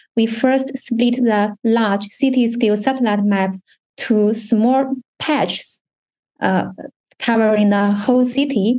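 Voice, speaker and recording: Fairly high pitch and a dark, mellow tone from a woman with a Chinese accent, fairly even intonation, very even loudness, and a fairly slow pace. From China. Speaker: university research fellow. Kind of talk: technical presentation.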